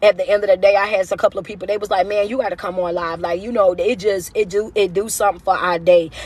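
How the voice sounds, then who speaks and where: With noticeable background noise behind her, a woman speaks in an animated tone at medium pitch and a very fast pace, with hardly any pauses. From US South. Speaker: motivational speaker. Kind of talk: live stream rant. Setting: social media livestream. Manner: loud.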